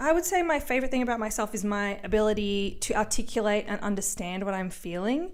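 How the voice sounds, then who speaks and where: Talking at a very fast pace with hardly any pauses, a woman with an Australian accent uses a fairly high pitch and lively intonation, with audible room echo. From Australia, Melbourne. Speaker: comedian and podcast host. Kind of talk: solo podcast monologue. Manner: animated.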